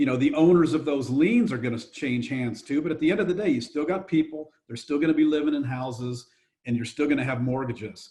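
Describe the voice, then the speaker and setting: Fairly high in pitch yet dark and mellow in tone, a somewhat breathy man speaks at a very fast pace with ordinary pitch variation. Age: 60s. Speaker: real estate investor and fund manager. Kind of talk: podcast interview.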